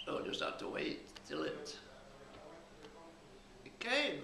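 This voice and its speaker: A man speaks at a fairly slow pace with audible room echo and light background noise. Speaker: war veteran. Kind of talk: interview answer. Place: home room.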